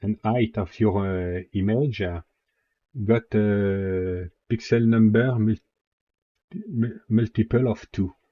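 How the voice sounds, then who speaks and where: In a French accent, a man speaks at a very slow pace. His pitch is fairly low and his intonation fairly even. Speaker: 3D software tutorial maker. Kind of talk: software tutorial narration. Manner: casual, hesitant with fillers.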